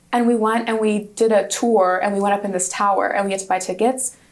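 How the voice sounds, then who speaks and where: Over noticeable background noise, a woman talks at a very fast pace in a fairly high pitch with fairly even intonation. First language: Hungarian. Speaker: university student. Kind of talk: interview.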